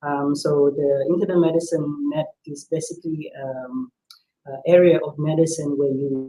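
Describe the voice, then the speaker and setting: Fairly high in pitch, a man speaks at a fairly slow pace with a dark, mellow tone and monotone, flat intonation. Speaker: internal medicine physician. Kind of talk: health talk on live stream. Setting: live online video stream. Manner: soft-spoken.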